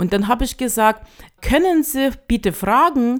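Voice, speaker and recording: A woman speaks at a fairly slow pace with a Russian accent. Her pitch swings very widely. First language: Russian (speaking German). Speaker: association chair. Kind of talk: interview. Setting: studio. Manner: halting, many fillers.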